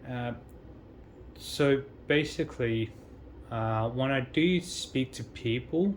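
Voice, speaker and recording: Speaking at a very slow pace with long, frequent pauses, a man with an Australian accent shows ordinary pitch variation. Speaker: travel vlogger. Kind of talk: casual vlog monologue. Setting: high-rise hotel room with a view. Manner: hesitant, many fillers.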